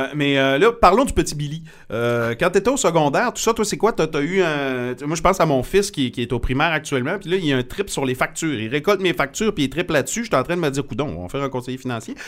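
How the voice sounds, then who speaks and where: Speaking very fast with hardly any pauses, a man uses a fairly high pitch and lively intonation on a very clean recording with a silent background. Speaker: radio host and podcast host. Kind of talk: casual interview. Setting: studio.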